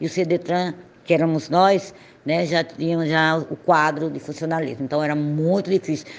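Here a woman speaks with a very deep, low pitch. Her intonation stays fairly even. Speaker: traffic psychologist. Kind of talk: interview. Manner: halting.

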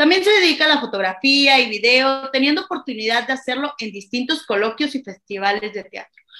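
A raised, projected voice moves at a fairly quick pace with hardly any pauses. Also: woman, high pitch for a woman. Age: 20s. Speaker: podcast co-host, theatre student. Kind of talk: casual chat; reading aloud. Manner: halting, many fillers.

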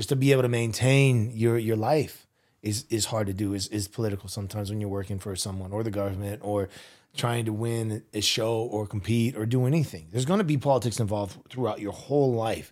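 This man has a plain, everyday voice, medium in pitch, speaking at a fairly quick pace with fairly even intonation. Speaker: podcast host. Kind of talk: casual interview chat. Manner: casual, slangy, friendly.

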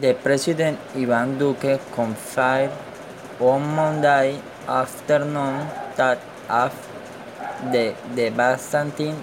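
A man with a Colombian accent and medium pitch, monotone, flat intonation at a very slow pace, with noticeable background noise. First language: Spanish. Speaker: podcaster. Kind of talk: news reading.

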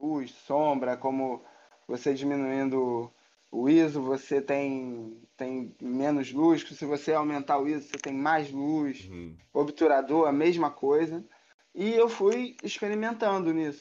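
In a Carioca accent, a man speaks at a fairly high pitch and a fairly slow pace, his dark, mellow tone showing ordinary pitch variation and big swings in loudness. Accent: carioca Brazilian Portuguese. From Rio de Janeiro, Brazil (Tijuca). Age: 30s. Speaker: photographer. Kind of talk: casual interview chat.

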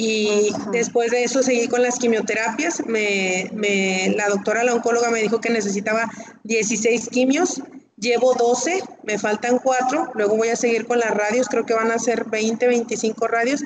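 Against noticeable background noise, a woman speaks at a fairly slow pace in a fairly high pitch with fairly even intonation. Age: 40s. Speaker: breast cancer patient. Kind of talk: testimony.

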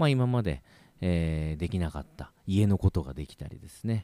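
Speaking at a fairly quick pace, a man with a very deep, low pitch uses lively intonation and a relaxed tone, recorded with a dry, close sound and no echo. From Japan, Kagoshima. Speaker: radio host and double bass player. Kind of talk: solo radio talk. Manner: many fillers, relaxed pace.

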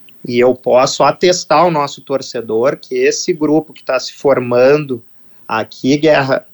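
A fairly high-pitched man speaks slowly enough to sound fairly slow, with fairly even intonation, in a dry, close recording with no echo. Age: 40s. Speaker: football club executive. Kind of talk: radio interview. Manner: halting, with repetitions.

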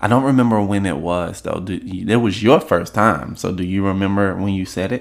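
Over a silent background in a very clean recording, a man with an unremarkable speaking voice and a fairly low pitch talks with hardly any pauses and ordinary pitch variation. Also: fairly quick pace. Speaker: podcast host. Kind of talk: casual chat podcast.

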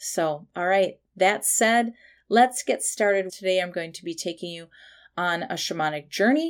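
Over a silent background on a very clean recording, a woman talks fairly slowly at a medium pitch with lively intonation. She has a plain, everyday voice. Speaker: meditation guide and intuitive. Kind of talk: guided meditation. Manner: slow, soothing, calm.

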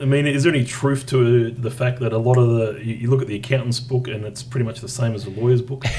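Speaking very fast with hardly any pauses, a man talks in a monotone, flat intonation and an Australian accent. Background noise is noticeable. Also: medium pitch for a man. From Tasmania, Australia. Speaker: podcast host. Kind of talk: casual interview. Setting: in person.

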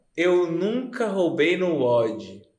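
A man with a high voice swings his pitch very widely, with audible room echo around him. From Goiânia, Brazil. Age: 30s. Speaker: podcast co-host. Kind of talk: casual chat.

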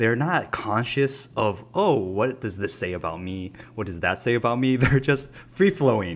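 Moving at a moderate pace, a man of medium pitch makes very wide pitch swings. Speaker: podcast host. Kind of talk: casual chat.

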